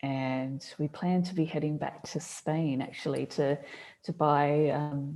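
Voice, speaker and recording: Speaking at a very slow pace, a woman with an Australian accent has a very deep, low pitch and a dark, mellow tone. Her intonation stays fairly even against a quiet background. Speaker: business coach. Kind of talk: casual chat.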